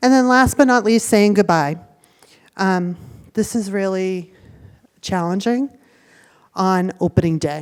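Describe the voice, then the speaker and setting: A woman with an American accent speaks at a fairly slow pace and a medium pitch, her pitch varying in an ordinary way, with long, frequent pauses. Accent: Boston accent, stronger when tired. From Boston, US. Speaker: university student affairs staff speaking to parents. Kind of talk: orientation presentation to parents. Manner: conversational, many 'right?' and 'um'.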